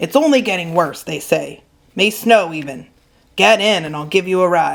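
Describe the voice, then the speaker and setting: A woman's put-on character voice at a fairly low pitch, with big swings in loudness. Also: moderate pace. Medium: read story. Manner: folksy, plainspoken.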